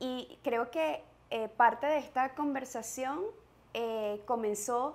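A woman's high-pitched voice at a very slow pace. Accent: Venezuelan. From Venezuela. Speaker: mother sharing parenting experience; podcast host. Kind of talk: casual chat. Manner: calm; hesitant, many fillers. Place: home room. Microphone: lapel.

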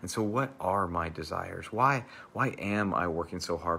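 A man's very deep, low voice with ordinary pitch variation over light background noise. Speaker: church pastor leading devotional. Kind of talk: devotional talk and fervent prayer. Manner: fervent, earnest, heartfelt prayer; informal, conversational, with filler words. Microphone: lapel.

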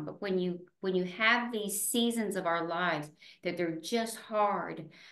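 With audible room echo, the speaker goes at a fairly slow pace and uses ordinary pitch variation. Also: woman, medium pitch for a woman. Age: 70s. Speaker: retired teacher. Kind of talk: interview answer. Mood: earnest, reflective. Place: home room. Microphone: video call.

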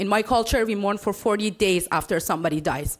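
At a moderate pace, a woman speaks. The recording is very clean, with a silent background. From Iran. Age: 30s. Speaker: public commenter. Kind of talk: public comment speech. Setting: city council meeting. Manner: impassioned.

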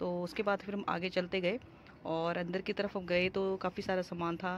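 Her pitch is fairly low, and she is a woman speaking at a moderate pace. There is little pitch movement.

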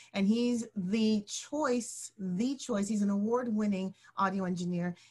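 A woman speaks at a fairly slow pace with fairly even intonation and a somewhat breathy voice. The background is quiet. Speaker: online show host. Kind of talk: hosting a live stream. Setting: live broadcast. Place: home room. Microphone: video call.

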